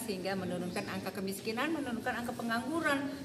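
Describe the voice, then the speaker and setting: Loud background noise sits behind a woman whose pitch varies in an ordinary way. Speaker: local official hosting guests. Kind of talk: interview answer. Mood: upbeat, promotional. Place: hall. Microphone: handheld.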